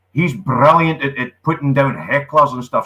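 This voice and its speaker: With a strong Scottish accent, a man talks at a moderate pace in a fairly high pitch, his tone bright and sharp and his pitch variation ordinary. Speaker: comedian, actor and wildlife ranger. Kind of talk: casual chat. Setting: live online show.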